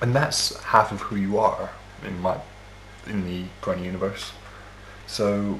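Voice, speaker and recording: Over noticeable background noise, a man talks at a fairly slow pace in a fairly low pitch, leaving long, frequent pauses. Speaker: podcast co-host and interviewer. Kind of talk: casual podcast interview. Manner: playful, joking.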